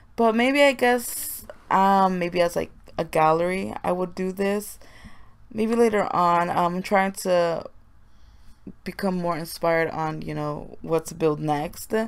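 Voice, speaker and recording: A quiet woman speaks at a fairly slow pace in a fairly low voice with ordinary pitch variation, captured on a very clean recording with a silent background. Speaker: gaming YouTuber. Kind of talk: voiceover commentary. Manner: quiet, low voice. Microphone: may sound far from the mic.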